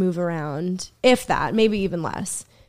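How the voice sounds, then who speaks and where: On a very clean recording with a silent background, a woman with an unremarkable speaking voice talks at medium pitch with ordinary pitch variation. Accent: American. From Boston area, US. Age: 20s. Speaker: comedian. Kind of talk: casual chat.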